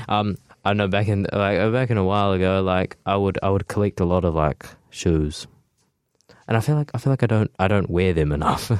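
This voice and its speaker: An unremarkable speaking voice moves at a fairly quick pace with ordinary pitch variation and very even loudness. The sound is dry and close, with no echo. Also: man, fairly low pitch for a man. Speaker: radio co-host. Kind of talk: casual interview chat. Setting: radio studio. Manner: casual, filler-heavy.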